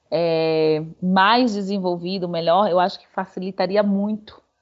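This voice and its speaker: Using a plain, everyday voice, a woman speaks at medium pitch and a fairly slow pace with fairly even intonation. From Salvador, Bahia, Brazil. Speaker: tour guide. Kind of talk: interview conversation.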